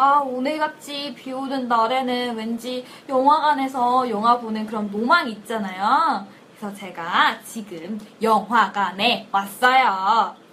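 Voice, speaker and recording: A woman speaks at a very slow pace in a fairly high pitch, her loudness swinging widely. Noticeable background noise runs underneath. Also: ordinary pitch variation. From Korea, Cheongju. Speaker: English learning podcast host. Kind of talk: scripted language lesson skit.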